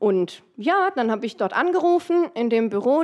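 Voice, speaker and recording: Using a normal speaking voice, a woman talks at a fairly high pitch with lively intonation. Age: 30s. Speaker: dental technician. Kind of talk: casual chat.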